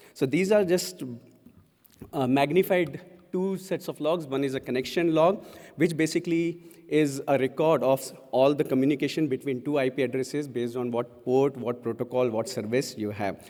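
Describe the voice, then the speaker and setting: A man with an Indian accent, fairly high-pitched, dark and mellow in tone, at a moderate pace with ordinary pitch variation. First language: Hindi. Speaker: conference speaker. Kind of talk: conference talk.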